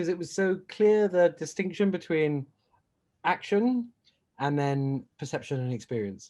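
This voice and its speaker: Speaking with a British accent, a man with a high pitch uses lively intonation. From Britain. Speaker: entrepreneur. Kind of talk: casual chat. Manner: halting.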